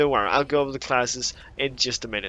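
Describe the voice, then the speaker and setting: Fairly even intonation from a man of medium pitch with a non-native accent. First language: not English. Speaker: gaming YouTuber. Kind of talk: gaming commentary. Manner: casual, some hesitations.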